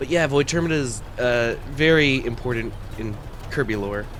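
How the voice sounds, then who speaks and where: A man's unremarkable speaking voice at medium pitch, with ordinary pitch variation. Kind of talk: ASMR roleplay, casual rant about video game lore. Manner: nervous, flustered, dorky, rambling.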